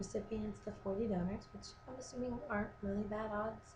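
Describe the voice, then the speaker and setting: A woman talks at a moderate pace, and audible room echo surrounds her voice. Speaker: video blogger. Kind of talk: casual vlog update. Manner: hesitant, many ums.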